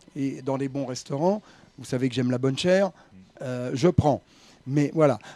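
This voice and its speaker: Fairly high-pitched male voice with a dark, mellow tone and ordinary pitch variation. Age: 70s. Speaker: writer and former racing journalist. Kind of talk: radio interview.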